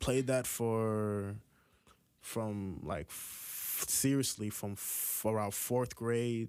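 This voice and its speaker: A man speaks with an American accent at a very slow pace. His pitch is fairly low and his intonation fairly even. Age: 20s. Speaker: rap artist. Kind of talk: interview answer.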